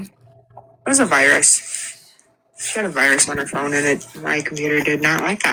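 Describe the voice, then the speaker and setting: A raspy, put-on character voice from a man, fairly high in pitch, with ordinary pitch variation, a moderate pace and long, frequent pauses. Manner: fast-talking.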